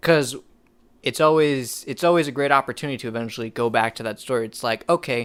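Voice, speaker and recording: Mumbling at a very fast pace, a man speaks at medium pitch with ordinary pitch variation on a very clean recording with a silent background. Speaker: podcast host and filmmaker. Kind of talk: casual chat.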